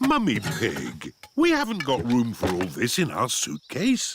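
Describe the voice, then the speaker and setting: A cartoonish character voice at a fairly slow pace. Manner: jovial, chuckling.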